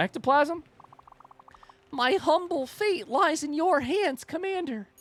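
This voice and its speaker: A woman puts on a character voice, extremely high-pitched, breathy and strained, delivering it in a theatrical, solemn tone at a fairly slow pace. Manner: strained, theatrical, solemn.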